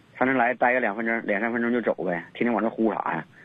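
This man's pitch is medium. He delivers his words at a very fast pace. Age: 30s. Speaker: caller. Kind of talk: phone-in advice call. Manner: halting.

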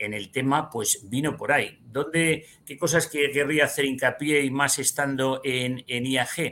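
A man's fairly high voice has a bright, sharp tone. He speaks at a fairly slow pace with fairly even intonation. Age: 50s. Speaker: financial advisor and trader. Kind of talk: interview.

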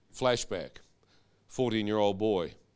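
A man talks at a moderate pace in an animated tone and a medium pitch, on a very clean recording with a silent background. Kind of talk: testimony.

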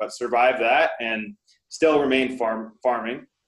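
This man speaks in a normal speaking voice at a medium pitch. His pace is moderate. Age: 30s. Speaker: real estate investor. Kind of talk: interview.

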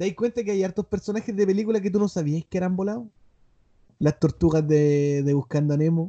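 In a Chilean accent, a man speaks at a fairly quick pace with a high pitch and a dark, mellow tone. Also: ordinary pitch variation. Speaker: podcast host. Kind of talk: casual chat. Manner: animated.

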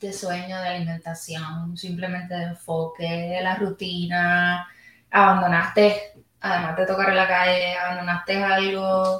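A woman speaks with a Puerto Rican accent. Her pitch is medium and her pace fairly slow. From Puerto Rico. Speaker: podcast host. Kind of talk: casual interview. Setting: backstage room at music venue.

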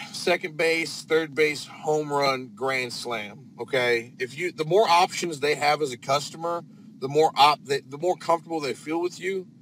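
Over noticeable background noise, a man with an American accent speaks at a fairly slow pace. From northern Indiana. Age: 20s. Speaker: drain cleaning plumber. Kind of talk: casual interview chat. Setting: live video stream.

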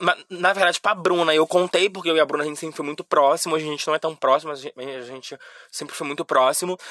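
With a bright, sharp, animated tone, a man talks at a very fast pace in a dry, close sound with no echo. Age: 20s. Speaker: podcast host. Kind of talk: casual monologue.

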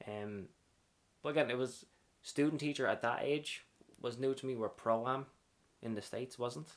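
With an Irish accent, a man at medium pitch speaks at a moderate pace, using ordinary pitch variation and long, frequent pauses. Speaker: dance teacher. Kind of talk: casual interview chat.

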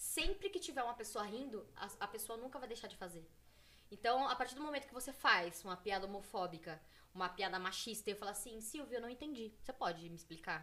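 A woman speaks in a plain, everyday voice pitched fairly high. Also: lively intonation. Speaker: women's football player. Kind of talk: casual chat.

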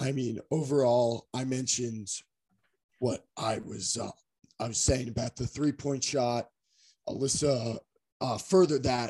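A man speaks at a medium pitch with a somewhat breathy, dark and mellow tone, going at a fairly slow pace with long, frequent pauses. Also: fairly even intonation. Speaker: podcast co-host. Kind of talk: casual sports podcast chat.

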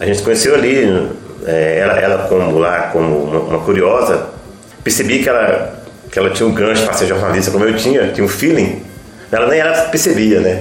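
A man's fairly low voice, fairly quick and lively in intonation, at very even loudness, with audible room echo and noticeable background noise. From northern Minas Gerais, Brazil (rural Francisco Sá). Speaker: journalist. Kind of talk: radio interview. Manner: halting, many fillers.

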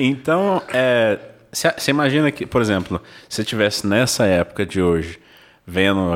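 Fairly low in pitch with ordinary variation, a man talks at a moderate pace in a very clean recording where the background is silent. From São José do Rio Preto, São Paulo state, Brazil. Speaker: podcast co-host. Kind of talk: casual interview chat.

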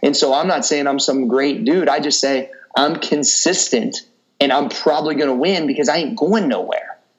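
This man has a fairly high pitch and lively intonation, speaking at a moderate pace with very even loudness. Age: 30s. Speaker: fitness coach and entrepreneur. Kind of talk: casual interview chat. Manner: animated.

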